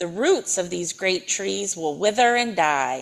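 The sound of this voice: A passage is read out. The reading voice is unforced.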